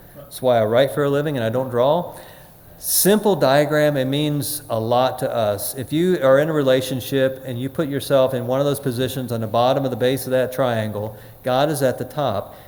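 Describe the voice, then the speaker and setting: Against noticeable background noise, a man talks at medium pitch with fairly even intonation. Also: moderate pace. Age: 60s. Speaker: recovery workshop speaker. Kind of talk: workshop talk. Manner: halting.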